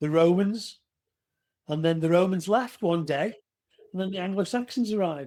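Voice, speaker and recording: With an English accent, a man speaks at a moderate pace in a dark, mellow tone. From England. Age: 60s. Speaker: retired police officer and author. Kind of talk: interview.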